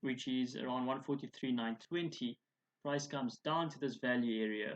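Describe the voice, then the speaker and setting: An unremarkable speaking voice from a man at medium pitch and moderate pace, with fairly even intonation and a dry, close sound with no echo. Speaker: forex trading educator. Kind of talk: tutorial.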